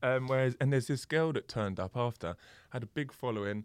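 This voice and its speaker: The speech comes at a very fast pace in an English accent, with ordinary pitch variation. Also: man, very clean recording, silent background. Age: 30s. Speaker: DJ and producer. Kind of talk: casual chat.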